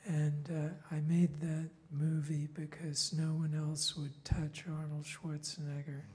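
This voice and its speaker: At a very slow pace, a man speaks in a somewhat breathy, dark and mellow voice of fairly high pitch, his intonation monotone and flat, with audible room echo. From England. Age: 60s. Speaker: filmmaker. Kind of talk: conference panel talk.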